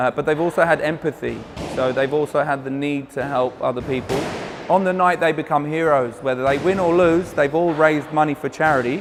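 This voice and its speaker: A man with an English accent speaks at a fairly quick pace, fairly high in pitch. His intonation stays fairly even, with music in the background. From England and Australia as a child, Polish family. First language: Polish (bilingual). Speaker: charity boxing event organiser. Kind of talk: interview. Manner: halting, with fillers and repeats.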